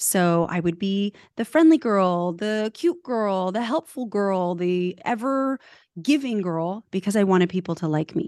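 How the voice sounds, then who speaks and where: A woman talks fairly slowly in a normal speaking voice, medium in pitch with lively intonation. The sound is dry and close with no echo, over a quiet background. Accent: American. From California. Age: 40s. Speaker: personal branding coach. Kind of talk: interview.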